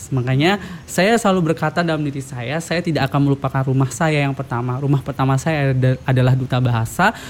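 There is noticeable background noise as a man talks at a very fast pace. His pitch is fairly high, with ordinary variation. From Lombok, Indonesia. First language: Sasak (Lombok language) (speaking Indonesian). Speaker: language ambassador. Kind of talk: podcast interview.

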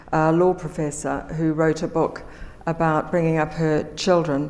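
A woman with a New Zealand accent and a fairly low pitch speaks at a moderate pace in a monotone, flat way. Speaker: magazine editor. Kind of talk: panel talk.

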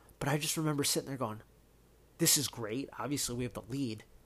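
Very cleanly recorded over a silent background, a man with an American accent talks very fast at a medium pitch. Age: 30s. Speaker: sports podcast host. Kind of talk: solo sports commentary. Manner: casual, lots of fillers.

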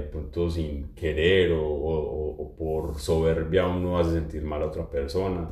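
Somewhat breathy, with a dark, mellow tone, a man speaks at a very deep, low pitch in a monotone, flat intonation, with audible room echo. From Colombia. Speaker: social communicator and journalist. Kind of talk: casual chat. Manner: halting, many repetitions and fillers.

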